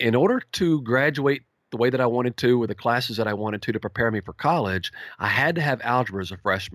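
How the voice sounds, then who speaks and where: A man with a Texan accent races along at a very fast pace, with a dry, close sound with no echo on a very clean recording with a silent background. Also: medium pitch for a man, ordinary pitch variation. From East Texas. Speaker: horse trainer. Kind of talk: interview. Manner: easygoing; clear.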